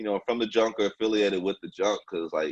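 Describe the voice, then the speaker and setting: A man's fairly low voice at a fairly quick pace, with a dry, close sound and no echo. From Junction City, Kansas. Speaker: radio host. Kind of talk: show intro; casual interview. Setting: phone call.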